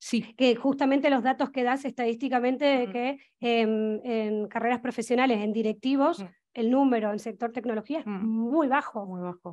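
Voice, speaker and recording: Over a quiet background, a woman speaks at a high pitch with ordinary pitch variation. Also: moderate pace. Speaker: moderator and presenter. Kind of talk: moderated panel discussion. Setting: stage with audience, live and online. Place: stage. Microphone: headset.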